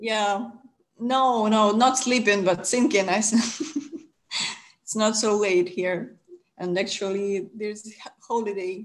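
Speaking at a very slow pace, a woman with a Ukrainian accent uses a fairly high pitch and ordinary pitch variation. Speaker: webinar host. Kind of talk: webinar moderation. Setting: video call. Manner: halting. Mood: friendly, relaxed. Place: home room. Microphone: video call.

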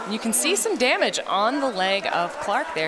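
Over crowd noise in the background, a woman with a fairly high voice makes very wide pitch swings. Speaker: color commentator. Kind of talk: live sports commentary. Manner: analytical, fluent, technical play-by-play.

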